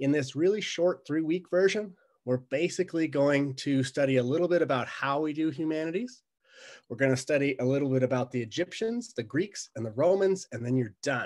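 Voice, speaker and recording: An unremarkable speaking voice moves at a fairly quick pace with lively intonation. The background is quiet. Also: man, fairly high pitch for a man. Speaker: college instructor. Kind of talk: recorded course introduction. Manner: casual, conversational.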